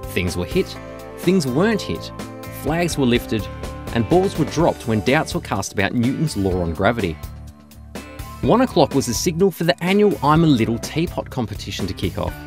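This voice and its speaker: Over background music, a man with a medium-pitched voice talks at a fairly quick pace, his pitch swinging very widely between long, frequent pauses. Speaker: voice-over narrator. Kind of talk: comedic sports commentary narration.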